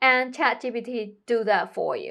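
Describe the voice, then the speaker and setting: The speaker has a non-native accent. The background is quiet. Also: woman. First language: not English. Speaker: tech tutorial youtuber. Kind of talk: tutorial. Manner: casual, conversational.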